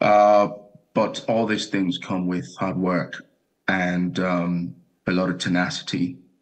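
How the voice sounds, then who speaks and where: A man speaks at a fairly slow pace in a very deep, low voice against a quiet background. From Nigeria. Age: young. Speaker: airline pilot; guest. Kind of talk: TV interview. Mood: calm, measured, optimistic. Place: home room. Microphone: video call.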